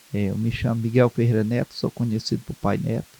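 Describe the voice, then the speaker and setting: Dry and close with no echo, the recording captures a man speaking at medium pitch. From Ceará, Brazil (Maranguape). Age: 60s. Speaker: Umbanda priest and community leader. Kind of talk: interview. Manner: halting, with many repetitions.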